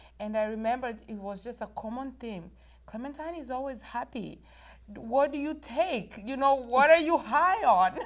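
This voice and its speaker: A woman with a Rwandan accent speaks at a high pitch and moderate pace, her intonation lively and her loudness swinging widely. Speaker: author and inspirational speaker. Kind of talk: interview.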